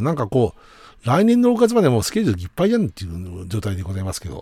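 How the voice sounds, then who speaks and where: On a very clean recording with a silent background, a man speaks in a dark, mellow tone with big swings in loudness. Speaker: radio host and band musician. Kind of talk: solo radio talk. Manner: fast; polite, many fillers.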